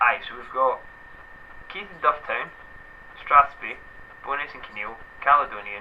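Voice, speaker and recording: A man talks with a Scottish accent. Noticeable background noise runs behind him. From Scotland. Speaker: video blogger. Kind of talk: casual chat.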